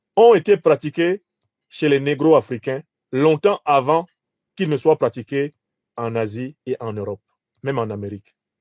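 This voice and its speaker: Speaking at a moderate pace with long, frequent pauses, a man with a Cameroonian accent has a fairly high pitch and lively intonation. His loudness swings a lot, and the sound is dry and close with no echo. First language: Bassa (speaking French). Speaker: professor and political commentator. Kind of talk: lecture.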